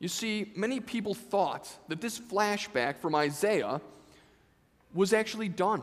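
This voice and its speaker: Someone speaks at a fairly slow pace with ordinary pitch variation. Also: man, high pitch for a man. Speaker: vicar delivering a sermon. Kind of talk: church sermon. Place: church.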